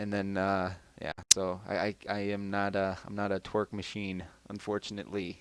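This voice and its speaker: A man's fairly low voice comes at a moderate pace with monotone, flat intonation. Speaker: podcast host and video game commentator. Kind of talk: live-streamed podcast chat. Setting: live stream. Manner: hesitant, many fillers.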